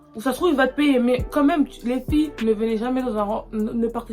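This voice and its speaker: With music in the background, a woman speaks at a fairly high pitch and moderate pace, her pitch varying an ordinary amount. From Congolese and Angolan background. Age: 20s. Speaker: YouTuber. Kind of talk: casual talk to camera.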